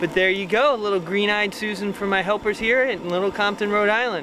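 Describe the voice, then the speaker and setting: A man speaks at a moderate pace. The sound is dry with no echo, though noticeable background noise is present. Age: 40s. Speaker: cooking show host. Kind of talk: cooking demonstration. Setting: outdoors.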